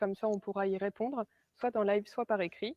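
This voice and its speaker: A woman's fairly high, fairly quick voice, with fairly even intonation and an unremarkable speaking voice. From northern France, Arras. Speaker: sales representative and trainer. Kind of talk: webinar presentation. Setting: online webinar.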